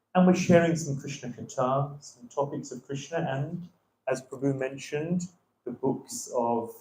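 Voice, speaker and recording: A man's somewhat breathy voice, dark and mellow in tone, at a fairly high pitch. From London, England. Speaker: visiting temple speaker. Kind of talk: religious class. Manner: hesitant with many fillers.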